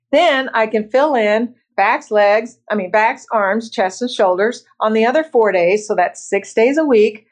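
In an American accent, a woman with a plain, everyday voice speaks at a fairly slow pace, with hardly any pauses. Her pitch is fairly high, with ordinary pitch variation. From Bloomington, Indiana. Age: 60s. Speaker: masters bodybuilder and office professional. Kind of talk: casual interview.

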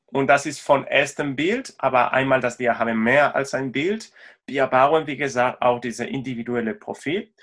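In a very clean recording with a silent background, a man with a Spanish accent speaks at a moderate pace and medium pitch, varying it in an ordinary way. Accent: Spanish accent, non-native German. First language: Spanish (speaking German). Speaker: sports tech company co-founder, sports scientist. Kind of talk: interview. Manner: halting, hesitant non-native speech.

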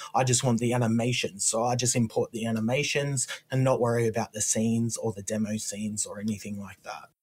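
A somewhat breathy man with an Australian accent, medium pitch, a flat monotone and a very fast pace with hardly any pauses. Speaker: indie game developer. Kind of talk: casual chat.

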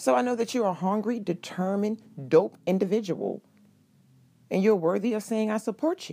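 A woman with an unremarkable speaking voice at medium pitch, moderate pace and ordinary pitch variation. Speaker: podcast host. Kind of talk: motivational solo monologue; warm pep talk cheering on struggling listeners. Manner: encouraging, affectionate, addresses listener as boo; casual, slangy, conversational.

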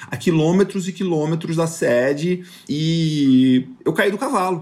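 A normal speaking voice carries lively intonation. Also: man. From Rio de Janeiro, raised on a farm in northern Goiás. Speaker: podcast host, cattle rancher and agribusiness consultant. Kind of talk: casual monologue, personal storytelling.

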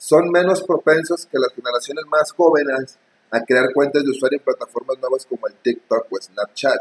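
A man speaks at a moderate pace, the sound dry and close with no echo. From Mexico. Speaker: podcast co-host. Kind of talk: casual chat.

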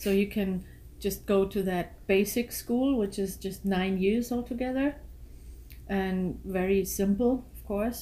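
With a German accent, a woman talks at a medium pitch in a dark, mellow, somewhat breathy tone with fairly even intonation. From Germany. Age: 40s. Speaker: guest, mother of the host's girlfriend. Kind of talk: casual interview chat.

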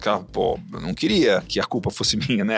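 With music in the background, a man races along at a very fast pace, his pitch swinging very widely. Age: 40s. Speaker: agribusiness entrepreneur. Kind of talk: podcast interview.

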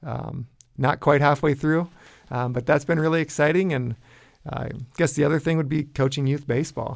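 A man speaks at a moderate pace in a fairly high voice, pausing long and often. The recording is very clean, with a silent background. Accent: Upper Midwest. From US Midwest, northwest Iowa. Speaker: college football head coach. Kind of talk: interview. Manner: frequent fillers and word repeats.

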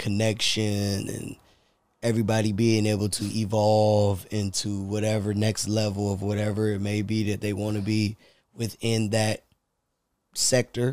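Flat and monotone in intonation, a man speaks at a fairly slow pace and a fairly low pitch. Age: 30s. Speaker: podcast co-host. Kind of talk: casual chat.

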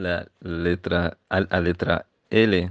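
A man with an Arabic accent speaks at a very deep, low pitch with monotone, flat intonation. The sound is dry and close, with no echo. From Egypt. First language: Arabic (speaking Portuguese). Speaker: Portuguese language student. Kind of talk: presentation. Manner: halting.

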